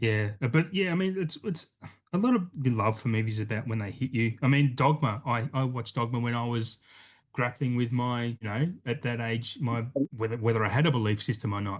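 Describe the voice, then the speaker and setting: A man with an Australian accent, somewhat breathy, at medium pitch and a fairly quick pace, with ordinary pitch variation. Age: 40s. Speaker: podcast host. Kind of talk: casual chat.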